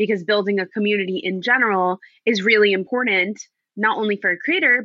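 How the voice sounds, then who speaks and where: A woman with an ordinary speaking voice, fairly high pitch, ordinary pitch variation and a fairly quick pace. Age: 20s. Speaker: chronic illness advocate and content creator. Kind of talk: casual chat.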